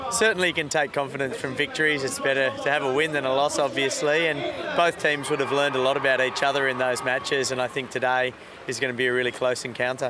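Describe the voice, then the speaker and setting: At a very fast pace with hardly any pauses, a man speaks at fairly high pitch with ordinary pitch variation. His loudness stays very even against noticeable background noise. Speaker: hockey coach. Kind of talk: interview answer.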